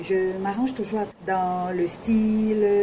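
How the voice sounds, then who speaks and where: A woman speaks at a very slow pace in a medium pitch, with noticeable background noise behind her. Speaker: vlogger, self-taught fashion designer. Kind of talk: casual vlog introduction. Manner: hesitant, many fillers; speaks loudly.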